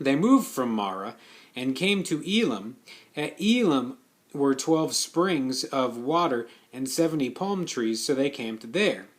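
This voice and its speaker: This man has a plain, everyday voice with a fairly high pitch. He speaks fairly slowly with lively intonation. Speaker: Bible reader. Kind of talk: reading aloud.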